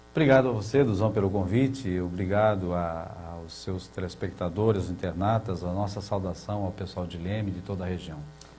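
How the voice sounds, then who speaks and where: Over music in the background, a man talks at a fairly quick pace with a very deep, low pitch and ordinary pitch variation. His loudness swings widely, and audible room echo fills the space. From Brazil, São Paulo state countryside. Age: 60s. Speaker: water utility head. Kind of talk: TV interview. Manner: hesitant, many fillers.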